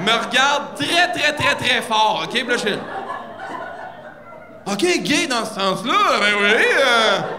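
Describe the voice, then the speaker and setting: A raised, projected voice moves at a very slow pace with lively intonation and long, frequent pauses. Noticeable background noise sits behind it. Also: man, extremely high pitch for a man. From Quebec. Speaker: stand-up comedian. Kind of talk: stand-up comedy routine. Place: stage. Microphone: handheld.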